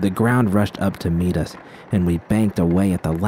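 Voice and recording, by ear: Someone reads aloud in a natural voice.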